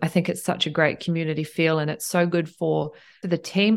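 In a New Zealand accent, a woman with a fairly low pitch speaks at a fairly quick pace and fairly even intonation, on a very clean recording with a silent background. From New Zealand, Tauranga and Cambridge. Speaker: hotel general manager. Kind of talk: interview.

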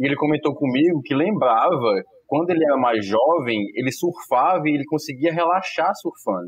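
At a moderate pace with hardly any pauses, a man with a normal speaking voice talks at a fairly high pitch with lively intonation. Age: 30s. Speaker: family doctor. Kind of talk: casual chat. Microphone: connection problems.

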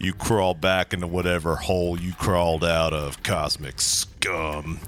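Against clear background noise, a man does a put-on character voice with a very deep, low pitch and monotone, flat intonation at a moderate pace. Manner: threatening, defiant.

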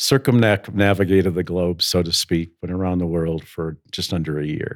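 A man with an American accent speaks in a very deep, low pitch on a very clean recording with a silent background. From US Midwest. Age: 70s. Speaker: school headmaster. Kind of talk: casual interview conversation.

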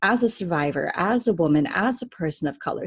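A woman with a Californian accent sounds somewhat breathy, her intonation lively. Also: quiet background. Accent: Californian American English. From Southern California (Cerritos). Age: 30s. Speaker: storytelling coach and life doula. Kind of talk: interview conversation.

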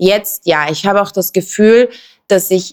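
A woman's medium-pitched voice holds fairly even intonation while she talks very slowly. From Southern California, then Austrian Alps. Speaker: fashion influencer and label founder. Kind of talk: casual interview chat.

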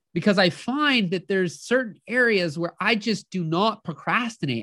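At a moderate pace, a man projects a raised voice that is high in pitch. His tone is bright and sharp, and his intonation is lively. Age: 30s. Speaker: business coach, livestream host. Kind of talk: live coaching stream, casual monologue. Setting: live Zoom and Facebook stream.

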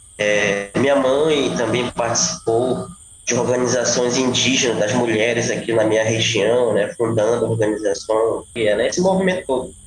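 At a moderate pace with hardly any pauses, a man speaks at medium pitch with ordinary pitch variation and very even loudness, over noticeable background noise. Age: 30s. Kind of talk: interview.

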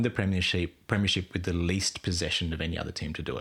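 A man talks with an Australian accent. His pitch is very deep and low. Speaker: podcast guest, football fan. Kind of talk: casual chat.

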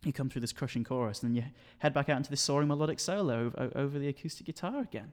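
A man with a Yorkshire accent at a fairly high pitch, a very fast pace and ordinary pitch variation, in a very clean recording with a silent background. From Sheffield, northern England. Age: 20s. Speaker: university student. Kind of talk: interview. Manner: halting.

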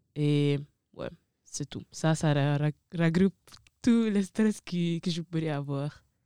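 Speaking with an Italian accent at a very slow pace with long, frequent pauses, a woman has a very deep, low pitch, a dark, mellow tone and ordinary pitch variation, in a dry, close sound with no echo. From Italy, of Ivorian parents. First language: Italian (speaking French). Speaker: university student. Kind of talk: casual chat.

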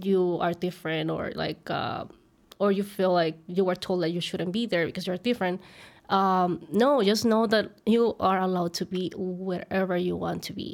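A woman with a Mexican accent speaks at a moderate pace with fairly even intonation, in a very clean recording with a silent background. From Mexico. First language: Spanish. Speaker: content creator. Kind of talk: casual interview chat.

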